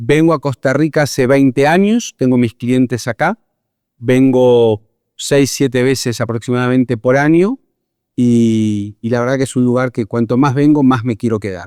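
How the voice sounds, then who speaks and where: A man speaks at a moderate pace with a Argentine accent, his pitch medium and its variation ordinary. His tone is dark and mellow. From Argentina. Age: 50s. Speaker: psychologist and leadership consultant. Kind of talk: interview.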